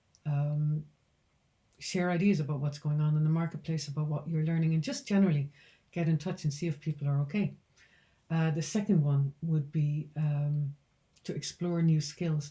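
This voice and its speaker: Speaking with an Irish accent, a woman with a very deep, low pitch and a dark, mellow, somewhat breathy tone keeps a moderate pace and fairly even intonation. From Ireland, County Roscommon. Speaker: founder of a speaker bureau. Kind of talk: business vlog talk to camera.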